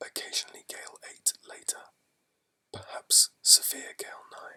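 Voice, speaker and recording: A soothing whisper at a fairly slow pace. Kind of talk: shipping forecast reading. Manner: whispered, soothing ASMR.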